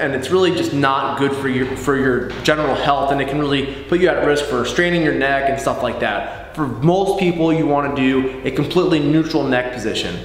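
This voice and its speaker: Against light background noise and audible room echo, a man speaks with fairly even intonation. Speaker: fitness coach. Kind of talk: tutorial. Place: gym.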